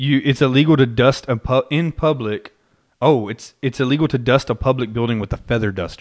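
Here is a man with an American accent and an unremarkable speaking voice. His pitch is medium, with ordinary pitch variation. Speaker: podcast host. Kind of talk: casual chat.

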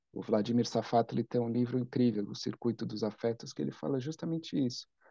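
A man speaks at a moderate pace in a dark, mellow tone. The sound is dry and close with no echo, over a quiet background. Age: 40s. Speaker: writer and psychoanalyst. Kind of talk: interview conversation.

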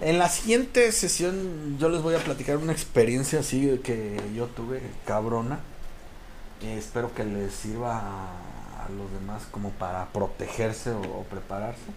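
Speaking at a fairly slow pace with lively intonation, this voice has a Mexican accent, audible room echo and noticeable background noise. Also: man, medium pitch for a man. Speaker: podcast guest storyteller. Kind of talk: casual storytelling.

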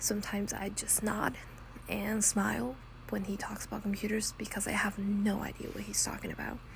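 A woman with an American accent at a moderate pace, with noticeable background noise. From Texas. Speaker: podcast host, college student. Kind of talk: casual monologue. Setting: home recording without proper mic.

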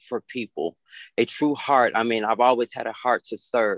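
With a dry, close sound and no echo, a man has a normal speaking voice, medium pitch, and fairly even intonation. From Atlanta, Georgia, US South. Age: 30s. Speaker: minister. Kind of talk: interview.

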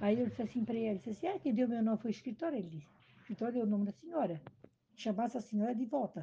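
Somewhat breathy and dark, mellow in tone, a woman with a fairly high pitch talks at a very fast pace. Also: lively intonation. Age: 70s. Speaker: retired cook. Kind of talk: family interview. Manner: halting.

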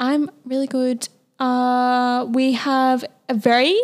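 In an Australian accent, the words come at a very slow pace. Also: woman. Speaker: podcast co-host. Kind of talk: casual chat.

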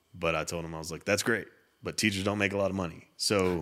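Speaking at a very fast pace with a West Texas accent, a man with a very deep, low pitch keeps a monotone, flat intonation in a very clean recording with a silent background. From Texas, Littlefield. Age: 30s. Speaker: custom home builder. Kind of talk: casual chat.

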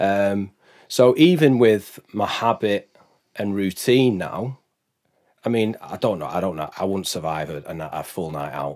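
A man's normal speaking voice, fairly low in pitch, with lively intonation, big swings in loudness and a fairly slow pace. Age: 40s. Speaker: business consultant. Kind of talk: casual chat. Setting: studio.

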